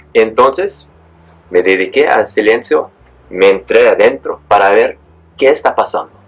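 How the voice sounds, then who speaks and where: A man speaks at a fairly slow pace with very even loudness. He leaves long, frequent pauses. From San Diego, California. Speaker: transformational coach and author. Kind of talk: interview. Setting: studio. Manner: halting.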